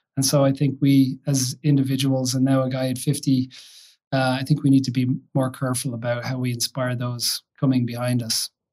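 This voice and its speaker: A man with an American accent speaks at a fairly quick pace and medium pitch, his tone dark and mellow and his intonation monotone and flat. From Ireland, County Kildare. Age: 50s. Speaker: tech company CEO. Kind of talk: interview conversation. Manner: hesitant, many fillers.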